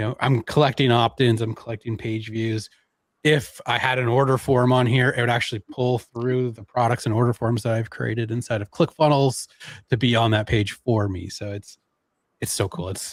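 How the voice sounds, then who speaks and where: A man with a Canadian accent speaks in a normal speaking voice at a moderate pace with fairly even intonation, the sound dry and close with no echo and the recording very clean over a silent background. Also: medium pitch for a man. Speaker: online marketing presenter. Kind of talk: live stream tech demo. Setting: live stream.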